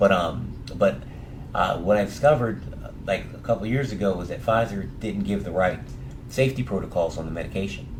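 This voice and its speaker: A man's fairly low voice with lively intonation at a fairly quick pace, with audible room echo. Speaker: cancer patient filing a complaint. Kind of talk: phone call, personal account. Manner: halting with many fillers and repetitions.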